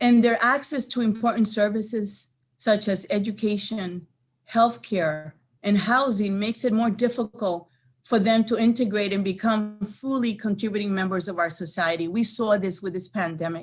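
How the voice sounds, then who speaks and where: A woman's somewhat breathy voice, fairly high in pitch with ordinary pitch variation, moves at a moderate pace. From Dominican Republic. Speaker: state legislator. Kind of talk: committee testimony. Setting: legislative committee hearing. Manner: formal.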